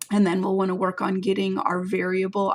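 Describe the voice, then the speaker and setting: A woman's medium-pitched voice at a fairly quick pace over noticeable background noise. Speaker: math teacher. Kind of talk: tutorial.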